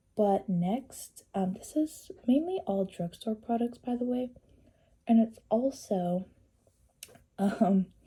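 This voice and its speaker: At a very slow pace with long, frequent pauses, the voice has a dark, mellow tone, a somewhat breathy quality and lively intonation. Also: woman, fairly high pitch for a woman. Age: 20s. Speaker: beauty vlogger. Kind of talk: casual chat. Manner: casual, chatty.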